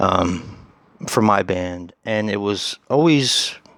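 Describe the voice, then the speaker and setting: In a very clean recording with a silent background, a soft-spoken man talks at a fairly low pitch. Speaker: horror YouTuber. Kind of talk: casual vlog monologue. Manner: hesitant, many fillers.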